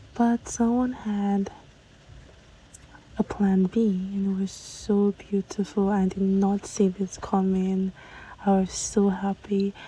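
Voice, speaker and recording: Amid noticeable background noise, the speech moves at a very slow pace with monotone, flat intonation and long, frequent pauses. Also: woman, medium pitch for a woman. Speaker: lifestyle vlogger. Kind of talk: vlog narration.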